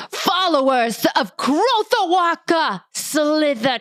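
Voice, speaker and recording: A woman puts on a character voice. She speaks at a very slow pace. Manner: powerful, commanding.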